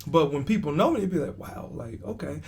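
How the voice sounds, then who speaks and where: With an American accent, a man speaks using lively intonation. Music plays in the background, and the room echo is audible. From Texas. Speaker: comedian. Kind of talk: casual chat. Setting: on a cruise ship.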